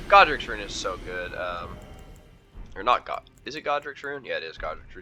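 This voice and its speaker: Music sounds in the background while a man talks at a moderate speed. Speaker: gaming streamer. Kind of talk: gameplay commentary. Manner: casual, with fillers.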